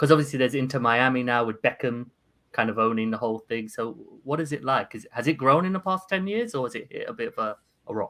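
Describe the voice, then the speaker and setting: A man with a London accent, medium pitch and ordinary pitch variation, his tone bright and sharp, in a very clean recording with a silent background. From London, England. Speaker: podcast host. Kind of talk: casual interview chat.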